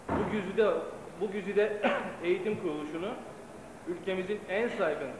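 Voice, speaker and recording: Recorded with audible room echo and noticeable background noise, a man talks at a moderate pace. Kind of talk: formal speech. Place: stage. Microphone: old recording.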